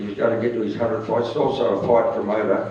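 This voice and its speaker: A man talks. Audible room echo and noticeable background noise come through along with his voice. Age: 70s. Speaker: retired motorcycle racer. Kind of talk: casual interview.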